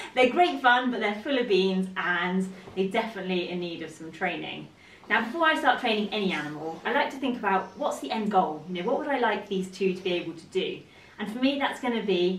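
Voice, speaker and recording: In a room with audible echo, a woman speaks at a fairly quick pace with big swings in loudness. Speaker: horse trainer. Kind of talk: casual vlog chat. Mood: cheerful, upbeat. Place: home room. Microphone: camera far.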